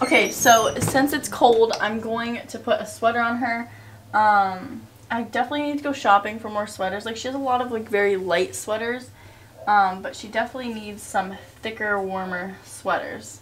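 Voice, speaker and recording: Against light background noise, a woman speaks in a somewhat breathy voice with ordinary pitch variation and big swings in loudness. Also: moderate pace. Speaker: mother vlogger. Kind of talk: casual vlog chat. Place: home room. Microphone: phone near.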